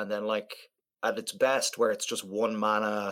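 Moderately paced, a man talks in an Irish accent. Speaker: podcast co-host. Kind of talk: casual chat.

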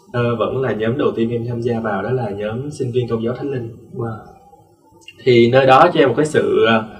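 A man at medium pitch speaks at a fairly slow pace with long, frequent pauses and fairly even intonation. Audible room echo and noticeable background noise come through. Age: 20s. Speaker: student and dancer. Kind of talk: interview.

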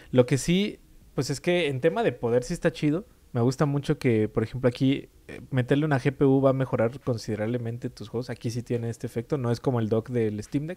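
A fairly quick man's voice of medium pitch, dark and mellow in tone, with ordinary pitch variation. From Mexico. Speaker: video game podcast co-host. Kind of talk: casual chat.

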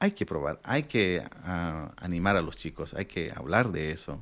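At a very slow pace, a man with a very deep, low pitch speaks with ordinary pitch variation. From Bolivia, rural La Paz (Pacajes). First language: Aymara (speaking Spanish). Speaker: chef. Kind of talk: interview storytelling.

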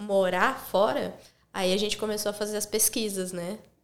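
In an ordinary speaking voice, a woman talks at a medium pitch and a moderate pace. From interior of São Paulo state, Brazil. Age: 30s. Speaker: former travel agent, travel content creator. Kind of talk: casual interview chat.

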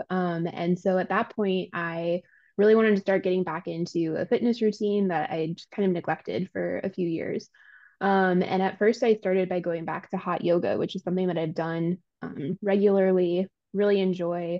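A woman with an unremarkable speaking voice, medium pitch, fairly even intonation and moderate pace. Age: 30s. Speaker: gym client. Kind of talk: casual interview.

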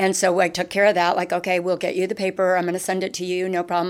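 A woman with an American accent speaks in an ordinary speaking voice at a medium pitch, on a very clean recording with a silent background. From northeastern Pennsylvania. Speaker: newspaper advertising sales executive. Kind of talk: casual interview.

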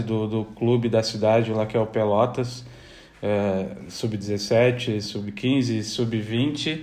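Room echo can be heard around this speaker. He is a man with a pitch in the middle range. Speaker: athletic trainer and former footballer. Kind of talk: casual interview.

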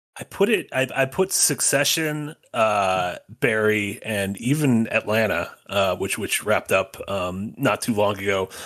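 A man speaks fairly slowly in an unremarkable speaking voice. His medium pitch shows ordinary variation. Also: hardly any pauses. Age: 30s. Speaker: podcast host. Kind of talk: casual chat.

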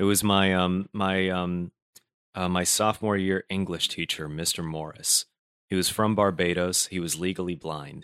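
A man with a General American accent and a very deep, low pitch, fairly even intonation and a moderate pace, on a very clean recording with a silent background and a dry, close sound with no echo. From Brooklyn, New York. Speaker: comedian and voice actor. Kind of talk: casual interview chat.

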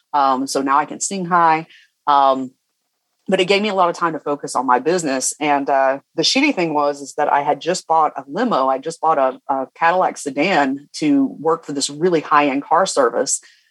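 A man with a Southern US accent, fairly high in pitch, at a moderate pace with ordinary pitch variation, in a dry, close sound with no echo. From US South, Georgia. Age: 40s. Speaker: business coach. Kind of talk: interview. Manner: animated.

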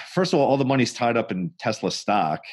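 Against a quiet background, a man talks at a moderate pace with lively intonation. He has an ordinary speaking voice. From New York. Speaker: financial advisor, podcast host. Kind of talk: casual chat. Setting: studio.

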